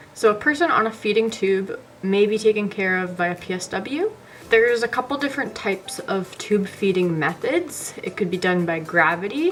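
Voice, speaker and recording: Noticeable background noise sits behind a woman of medium pitch. Her intonation is lively. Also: moderate pace. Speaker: personal support worker educator. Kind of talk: tutorial.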